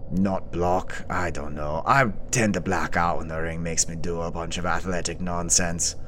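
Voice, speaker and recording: A man's put-on character voice, very deep and low in pitch, at a moderate pace with hardly any pauses, over loud background noise. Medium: actual play. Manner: sardonic, menacing.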